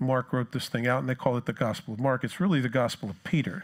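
A man speaks with an American accent and ordinary pitch variation. The background is quiet. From New Jersey. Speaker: pastor. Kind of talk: sermon. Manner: animated. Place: church.

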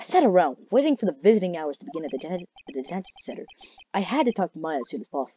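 Reading aloud in a natural voice, set against a quiet background.

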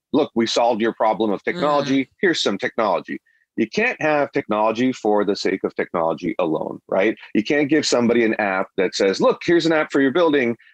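Over a quiet background, a man with a normal speaking voice talks at a fairly quick pace and medium pitch, his intonation lively and his loudness very even, in a dry, close sound with no echo. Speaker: tech startup CEO. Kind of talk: interview.

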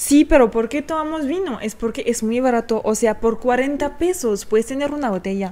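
Her dark, mellow tone sits at a high pitch as the woman talks at a moderate pace with hardly any pauses. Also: lively intonation. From France. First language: French (speaking Spanish). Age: 20s. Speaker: YouTuber. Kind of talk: casual chat. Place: home room. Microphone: studio mic.

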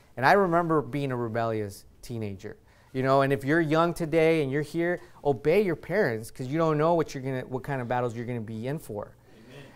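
A man talking at a very fast pace, fairly high in pitch, with ordinary pitch variation and big swings in loudness. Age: 30s. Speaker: visiting pastor. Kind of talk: sermon. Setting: church. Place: church.

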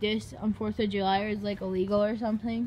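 A woman speaks while light background noise can be heard. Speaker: vlogger shopping with dad. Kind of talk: casual vlog chat. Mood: playful, laughing. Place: shop. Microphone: phone near.

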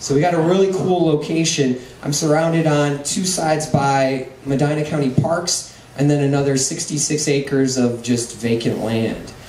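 Against light background noise and audible room echo, a man talks at a moderate pace with fairly even intonation. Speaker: presenter. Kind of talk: presentation talk. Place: hall.

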